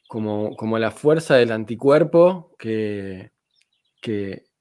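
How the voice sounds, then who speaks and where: The very clean recording, with a silent background, carries a voice with ordinary pitch variation. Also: man. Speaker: podcast host. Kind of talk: casual interview. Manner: halting, many repetitions.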